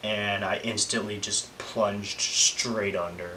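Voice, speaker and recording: A man talks with monotone, flat intonation. Noticeable background noise runs underneath. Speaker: vlogger. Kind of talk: casual vlog monologue. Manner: halting, many fillers.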